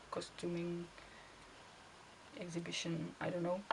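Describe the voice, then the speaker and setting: Her intonation fairly even, a woman speaks with a Czech accent. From Czech Republic. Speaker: costuming hobbyist vlogger. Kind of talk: casual monologue answering questions. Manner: halting, with fillers.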